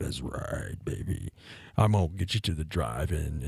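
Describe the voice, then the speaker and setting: A man does a put-on character voice, very deep and low in pitch. It sounds croaky and moves at a moderate pace. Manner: smooth, flirtatious.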